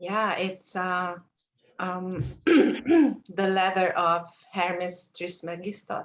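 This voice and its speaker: Her pitch sits at a medium level for a woman, with ordinary pitch variation. She speaks at a very slow pace with long, frequent pauses. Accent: Hungarian. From Hungary. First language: Hungarian. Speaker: mentee. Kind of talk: mentoring session. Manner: halting.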